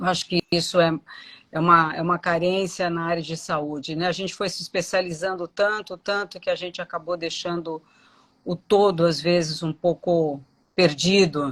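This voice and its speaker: An unremarkable speaking voice moves at a fairly slow pace with fairly even intonation, sounding dry and close with no echo. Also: woman. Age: 60s. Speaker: dentist. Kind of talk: live interview.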